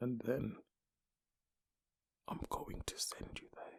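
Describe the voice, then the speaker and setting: A man is whispering. The sound is dry and close, with no echo. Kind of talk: ASMR story reading, audio only. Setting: ear to ear binaural recording. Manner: whispered, soft-spoken, slow.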